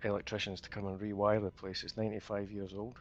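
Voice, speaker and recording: Over music in the background, a man with a fairly low pitch talks at a fairly quick pace in a monotone, flat way. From Scotland. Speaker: gamer. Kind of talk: casual chat. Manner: halting.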